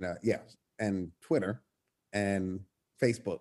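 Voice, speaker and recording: Here a man talks at a fairly slow pace in an American accent. His intonation is fairly even. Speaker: choir director, nonprofit leader. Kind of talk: casual interview.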